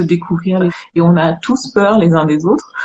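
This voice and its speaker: A woman talks at a medium pitch that varies in an ordinary way. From Guadeloupe (Pointe-à-Pitre). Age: 50s. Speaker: live stream host. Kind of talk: casual chat.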